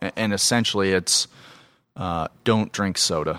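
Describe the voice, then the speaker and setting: In an American accent, a man with a very deep, low pitch and a bright, sharp tone speaks at a moderate pace with fairly even intonation, the sound dry and close with no echo on a very clean recording with a silent background. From US Southwest (Phoenix, Arizona). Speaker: physical therapist. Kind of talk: interview.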